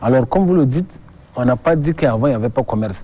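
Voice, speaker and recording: A man's ordinary speaking voice at a medium pitch with ordinary pitch variation. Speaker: government export official. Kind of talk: TV interview.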